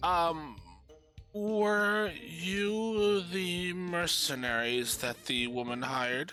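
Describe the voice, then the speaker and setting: A man's put-on, high-pitched character voice at a very slow pace with very wide pitch swings, over faint music in the background. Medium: actual play. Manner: warm, motherly.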